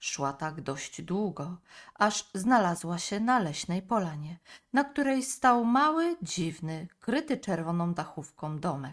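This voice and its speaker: Very slow and calm, a woman speaks in a soothing tone with lively intonation on a very clean recording with a silent background. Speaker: audiobook narrator. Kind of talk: bedtime story narration, fairy tale read aloud. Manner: calm, soothing, storytelling pace.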